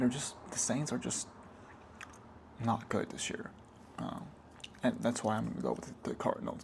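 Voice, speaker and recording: A man talks at a moderate pace. He is soft-spoken. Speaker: ASMR creator. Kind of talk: ASMR soft-spoken sports talk.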